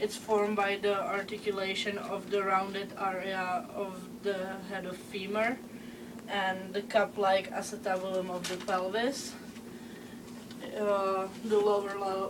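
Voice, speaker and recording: A woman with a Czech accent speaks fairly slowly with fairly even intonation. Noticeable background noise and audible room echo are present. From Czech Republic. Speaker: student presenter. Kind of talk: class presentation. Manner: halting, many filler sounds.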